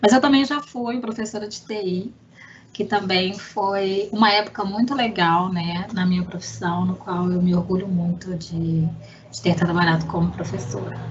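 A woman speaks in a plain, everyday voice at a medium pitch. Her pace is fairly slow and her pitch varies in an ordinary way. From Belo Horizonte, Minas Gerais, Brazil. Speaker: IT analyst. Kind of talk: casual chat.

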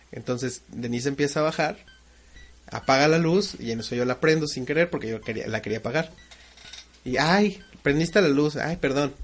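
There is noticeable background noise as a man speaks at a fairly high pitch. He keeps a moderate pace with ordinary pitch variation. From Mexico. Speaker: podcast co-host. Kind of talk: casual chat.

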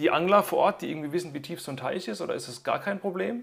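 A man speaks at a very fast pace with lively intonation. Vocal fry runs through his voice. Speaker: podcast host. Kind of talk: interview; scripted podcast outro.

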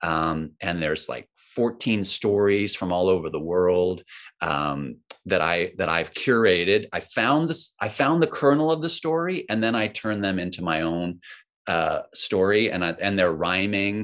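Over a quiet background, a man with a fairly low voice speaks at a fairly slow pace, his pitch swinging very widely. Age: 50s. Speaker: mindfulness author and teacher. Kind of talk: casual interview chat.

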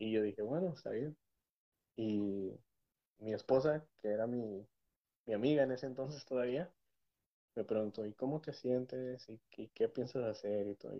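Long, frequent pauses from a man of medium pitch, ordinary pitch variation, moderate pace. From Mexico. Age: 30s. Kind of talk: casual interview with testimony.

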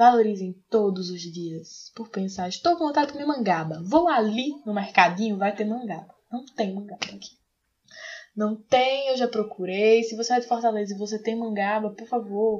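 At a moderate pace, this speaker uses an animated tone, ordinary pitch variation, and big swings in loudness. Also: woman, fairly high pitch for a woman. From Aracaju, Sergipe, Brazil. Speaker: podcast co-host. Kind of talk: casual chat.

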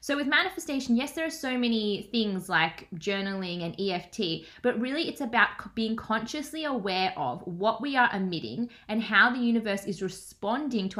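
With an Australian accent, a woman speaks at a moderate pace in a bright, sharp tone and with lively intonation. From Australia, Melbourne. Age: 20s. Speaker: manifestation and business coach. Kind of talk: casual interview chat.

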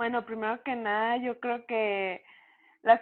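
A woman speaks in a monotone, flat intonation. Her pace is very slow. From Mexico, Chihuahua (Cuauhtémoc). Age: 20s. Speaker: professional boxer. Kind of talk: interview.

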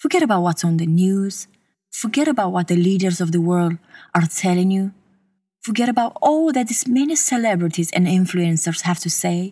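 Against a silent background on a very clean recording, the voice sounds soothing and gentle, somewhat breathy, with lively intonation. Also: woman, medium pitch for a woman. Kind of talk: guided meditation. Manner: slow, soothing and gentle, with calm, even pacing and long pauses.

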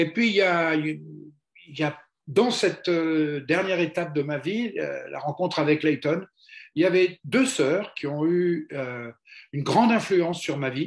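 Speaking at a very slow pace, this man shows ordinary pitch variation. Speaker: retired evangelist and mentoring trainer. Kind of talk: interview.

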